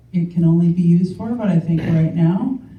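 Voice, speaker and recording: Her pitch sits fairly low for a woman. Room echo is audible around her voice. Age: 60s. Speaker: political candidate. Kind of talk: candidates' debate speech. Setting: public forum in a legion hall.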